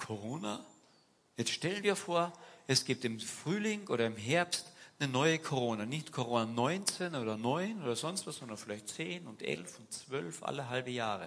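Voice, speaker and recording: Very wide pitch swings fill this man's animated tone. He speaks at a moderate pace in a medium pitch. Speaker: preacher. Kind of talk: sermon in church, casual and direct, mixing anecdotes with scripture. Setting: church. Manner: animated, conversational, uses rhetorical questions and urging imperatives.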